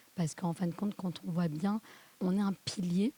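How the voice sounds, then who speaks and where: In a dry, close sound with no echo, a woman speaks at a moderate pace, her fairly low voice dark, mellow and somewhat breathy, with fairly even intonation. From southern France. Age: 40s. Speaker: podcast guest, mother. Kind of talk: interview testimony.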